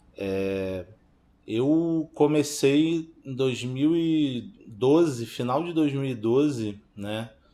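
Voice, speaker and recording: This man speaks at a very slow pace with a medium pitch. His tone is dark and mellow, and his intonation is lively. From Baixada Fluminense, Rio de Janeiro, Brazil. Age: 30s. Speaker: filmmaker. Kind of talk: interview testimony.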